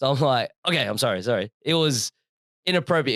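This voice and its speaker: A man with an Australian accent talks at a fairly quick pace, his fairly high voice full of lively intonation. The recording is very clean with a silent background, dry and close with no echo. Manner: casual, conversational, frequent fillers.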